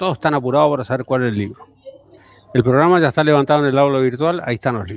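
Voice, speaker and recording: A man races along very fast at a mid-range pitch, his pitch moving in a usual way. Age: 60s. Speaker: university professor. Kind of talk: lecture. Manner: informal, conversational.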